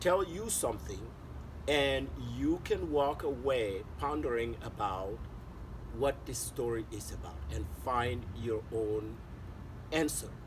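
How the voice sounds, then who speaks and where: A man speaks very slowly against noticeable background noise. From Mali. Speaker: artist, author, illustrator, storyteller; storyteller. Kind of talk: interview answer. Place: garden.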